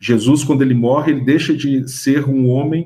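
A fairly high-pitched, somewhat breathy male voice at a moderate speed. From Minas Gerais, Brazil (Ouro Preto area). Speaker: history professor and author. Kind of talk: radio interview. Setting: radio studio. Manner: halting, with repetitions.

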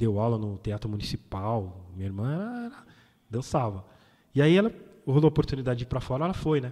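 At a fairly quick pace, a man of medium pitch speaks with a dark, mellow tone and lively intonation. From São Paulo, east zone. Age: 40s. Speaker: DJ. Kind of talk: interview. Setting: studio.

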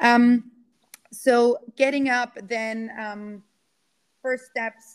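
Someone speaks with a German accent in a dry, close sound with no echo. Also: woman. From Austria. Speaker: climate activist and keynote speaker. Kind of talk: casual interview. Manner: halting, many fillers.

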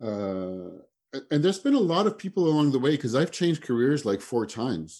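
Against a quiet background, the voice has a dark, mellow tone. It moves at a fairly quick pace with very wide pitch swings. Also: man, fairly high pitch for a man. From France. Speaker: marketing strategist. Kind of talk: casual chat. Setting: video call.

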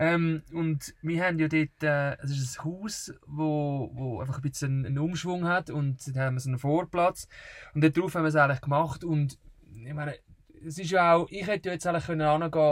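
The voice is somewhat breathy, with fairly even intonation. The pace is fairly quick. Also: man. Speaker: travel podcaster. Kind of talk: casual chat. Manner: halting.

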